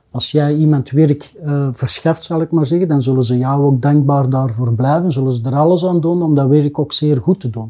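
At a moderate pace with hardly any pauses, a man with a fairly high pitch talks in a normal speaking voice with fairly even intonation. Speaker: business owner. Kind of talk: casual chat.

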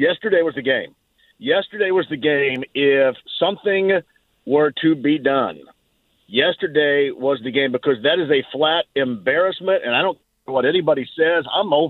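A man talks in a plain, everyday voice, his pitch fairly high. His pitch varies normally and his pace is moderate. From Southern Indiana, Greene County. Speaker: sports radio host. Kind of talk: radio sports talk.

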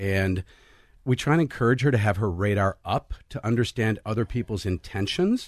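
A man with an ordinary speaking voice talks at a moderate pace and fairly low pitch, with ordinary pitch variation, in a dry, close sound with no echo against a quiet background. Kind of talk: radio panel discussion.

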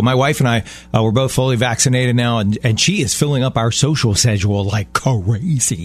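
A man with a medium-pitched, somewhat breathy voice speaks at a very fast pace. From Baltimore. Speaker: radio host. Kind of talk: casual chat. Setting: studio.

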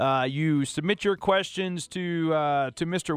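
Pitched fairly high, a man uses ordinary pitch variation and an unremarkable speaking voice. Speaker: fill-in radio host. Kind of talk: radio dj patter. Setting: radio studio. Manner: upbeat, smooth, friendly.

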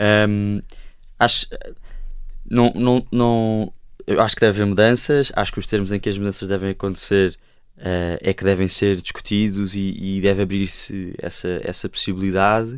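The recording is very clean, with a silent background. In it, a man speaks at a moderate pace. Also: fairly low pitch for a man, fairly even intonation. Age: 20s. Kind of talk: panel discussion. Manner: halting.

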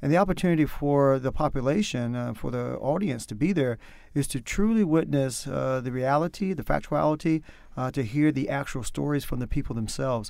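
On a very clean recording with a silent background, a man with an American accent talks at a fairly quick pace, with fairly high pitch and ordinary pitch variation. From North Carolina. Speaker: powwow MC and administrator. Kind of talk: interview.

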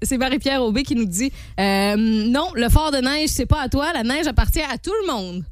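Lively intonation in a high-pitched female voice. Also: moderate pace. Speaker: morning radio host. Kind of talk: casual radio banter. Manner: animated.

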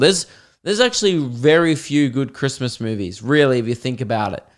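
An animated tone in an Australian accent, with lively intonation at a moderate pace. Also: man. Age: 20s. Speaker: podcaster and stand-up comedian. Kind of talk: casual chatty podcast monologue with comic riffs and stand-up style bits. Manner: animated, jokey, sweary and conversational.

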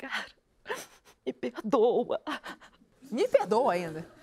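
In a put-on character voice, a shaky, fairly high tone creeps along at a very slow pace. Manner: trembling, pleading for forgiveness.

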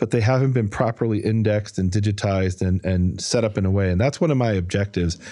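A very fast American-accented man with a dark, mellow tone, fairly low pitch, ordinary pitch variation and hardly any pauses. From US Midwest, Chicago north side. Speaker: biblical scholar. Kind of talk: interview. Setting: studio.

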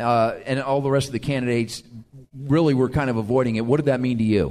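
A man speaks at a fairly quick pace in medium pitch. He has an ordinary speaking voice. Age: 50s. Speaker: radio talk show host. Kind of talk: casual chat. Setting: live event with audience.

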